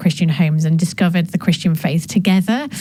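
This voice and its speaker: A woman with a northern English accent speaks at a fairly low pitch. Her intonation stays fairly even over noticeable background noise. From northern England. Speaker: gender justice specialist and author. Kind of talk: interview. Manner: hesitant, many fillers.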